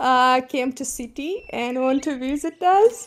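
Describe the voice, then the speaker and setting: A speaker with a non-native accent talks at a very slow pace, with ordinary pitch variation. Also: woman. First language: not English. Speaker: voice chat participant telling a personal story. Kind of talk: personal story in casual group chat. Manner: halting.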